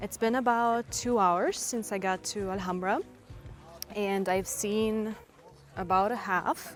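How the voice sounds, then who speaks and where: In a Russian accent, a woman with a medium pitch speaks at a very slow pace, with long, frequent pauses and fairly even intonation. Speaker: language teacher and travel vlogger. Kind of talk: travel vlog narration. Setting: outdoors.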